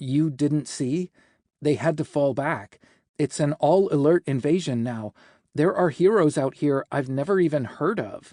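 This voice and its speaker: A man puts on a character voice, pitched fairly high, against a quiet background. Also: moderate pace. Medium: read story. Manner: wry, teasing.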